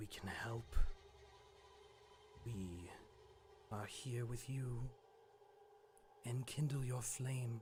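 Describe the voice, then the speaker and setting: Doing a put-on character voice at a medium pitch, a man speaks in a solemn tone at a very slow pace with long, frequent pauses over clear background noise. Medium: actual play. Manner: solemn, otherworldly.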